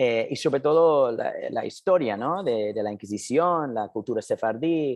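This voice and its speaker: A man talks at a fairly slow pace with a non-native accent. His intonation is lively. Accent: foreign accent in Spanish. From US, New Jersey. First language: English (speaking Spanish). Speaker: documentary filmmaker. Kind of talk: interview. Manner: halting.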